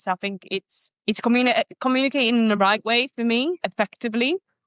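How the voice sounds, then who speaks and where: A woman talks in a Polish accent at a moderate pace. Her pitch varies in an ordinary way, and the sound is dry and close with no echo. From Poland. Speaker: business owner. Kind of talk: podcast interview. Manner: halting.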